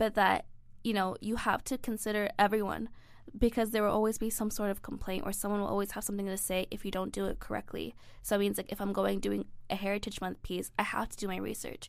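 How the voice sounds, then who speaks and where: A woman speaks at a very fast pace in a very clean recording with a silent background. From Egypt. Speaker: graduate student. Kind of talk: casual interview. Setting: studio.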